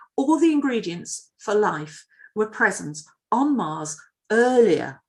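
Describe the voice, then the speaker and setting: With a Yorkshire accent, a woman speaks with vocal fry and very wide pitch swings. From northern England, Leeds, Yorkshire. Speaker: planetary scientist. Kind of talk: public lecture. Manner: hesitant, many fillers.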